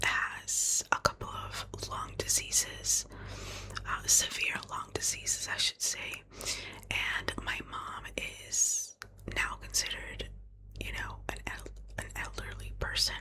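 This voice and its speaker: Someone whispers at a very slow pace with long, frequent pauses against noticeable background noise. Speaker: ASMR creator. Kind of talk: ASMR whispered ramble to camera, personal life update. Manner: whispered, close-up, soft.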